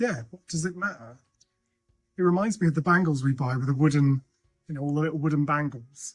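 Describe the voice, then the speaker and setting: Mumbling at a fairly quick pace with long, frequent pauses, a man with a fairly high pitch and ordinary pitch variation speaks over music in the background. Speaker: thrifting vlogger. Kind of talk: casual vlog chat. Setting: outdoors and in charity shops.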